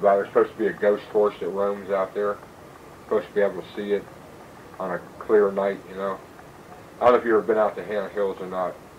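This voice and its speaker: With an American accent, a man speaks very fast in a fairly low, monotone, flat voice, leaving long, frequent pauses over noticeable background noise. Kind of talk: casual storytelling, recorded conversation. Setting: home recording.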